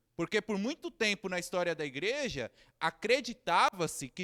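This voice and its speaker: The man's voice is high in pitch and moves at a fairly slow pace. The sound is dry and close with no echo, on a very clean recording with a silent background. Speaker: theology teacher and pastor. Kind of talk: lecture.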